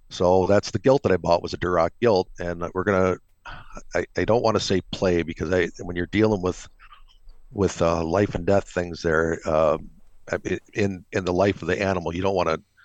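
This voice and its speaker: A man's very deep, low voice with an Upper Midwest accent, at a moderate pace and with fairly even intonation. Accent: Upper Midwest (Minnesota). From Minnesota. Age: 60s. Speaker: retired military officer and pig farmer. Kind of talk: casual interview. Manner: halting, many repetitions.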